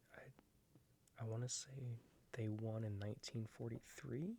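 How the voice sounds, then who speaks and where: This man is soft-spoken and somewhat breathy, talking at a very slow pace with fairly even intonation. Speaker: ASMR creator and baseball fan. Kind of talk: ASMR book flip-through, casual talk to camera.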